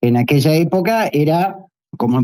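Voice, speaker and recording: With an Argentine accent, a man speaks in a dark, mellow tone and lively intonation. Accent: Argentine Spanish (Rioplatense). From Argentina. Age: 60s. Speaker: economics professor. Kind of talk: interview. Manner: casual, hesitant with repetitions.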